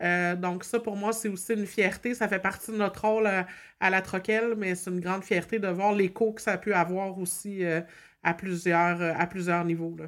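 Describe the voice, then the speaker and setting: Monotone, flat intonation from a woman at medium pitch, on a very clean recording with a silent background. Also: moderate pace. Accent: Quebec. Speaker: community organization staff, co-host. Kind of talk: casual chat.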